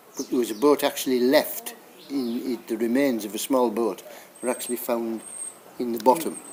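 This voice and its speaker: A man with a medium pitch and fairly even intonation talks at a moderate pace against noticeable background noise. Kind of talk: local history talk.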